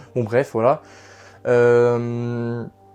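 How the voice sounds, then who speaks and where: Background music accompanies the recording. A man's voice sits at a medium pitch. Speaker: YouTuber showing his room setup. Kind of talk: casual video tour. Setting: bedroom. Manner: halting, many fillers.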